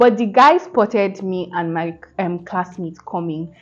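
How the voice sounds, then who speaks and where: A woman with lively intonation. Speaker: student vlogger. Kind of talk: casual vlog talk to camera. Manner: halting, stumbling over words.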